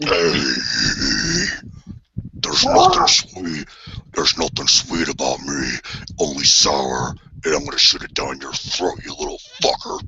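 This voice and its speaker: At a moderate pace, a man talks in a raspy, put-on character voice. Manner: menacing, aggressive.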